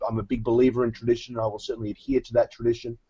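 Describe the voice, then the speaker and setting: Here a man speaks with an Australian accent. His intonation is monotone and flat. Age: 40s. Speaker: competitive eating league executive. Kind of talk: podcast interview.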